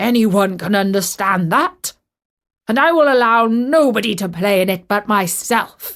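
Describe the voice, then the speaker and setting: Gruff and stern in tone, the speaker uses a put-on character voice at a moderate pace. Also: woman, medium pitch for a woman. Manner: stern and selfish.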